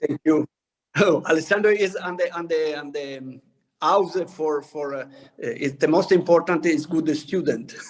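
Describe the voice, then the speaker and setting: A man with an Italian accent, fairly high pitch, fairly even intonation, big swings in loudness, and a moderate pace. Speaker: winemaker. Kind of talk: interview. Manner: halting.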